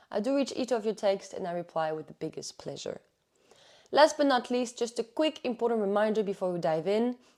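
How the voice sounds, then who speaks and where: With an unremarkable speaking voice, a woman talks at a fairly quick pace and fairly high pitch, her intonation lively and her loudness swinging widely. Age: 20s. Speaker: athlete and mindset coach. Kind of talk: podcast monologue.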